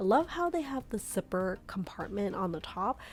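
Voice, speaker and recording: A woman talks at a moderate pace. Her voice is an unremarkable speaking voice at medium pitch. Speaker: shopping vlogger. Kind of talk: shopping vlog narration. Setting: in a store. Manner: casual, filler-heavy.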